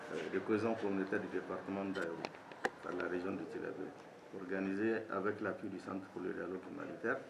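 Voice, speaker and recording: A man, pitched rather low, talks at a medium tempo, his voice carrying clear room reverberation amid a fair amount of surrounding noise. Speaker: government official. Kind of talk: formal speech. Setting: ceremony with audience. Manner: formal.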